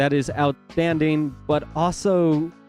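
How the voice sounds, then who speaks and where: A man speaks with music in the background. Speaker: music reviewer. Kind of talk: album review to camera.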